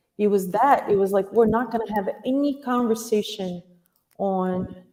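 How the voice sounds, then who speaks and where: At a moderate pace, a woman with a Portuguese accent speaks in a fairly high pitch with a dark, mellow tone and ordinary pitch variation. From Brazil. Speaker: acupuncturist and dance teacher. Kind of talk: interview. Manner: halting.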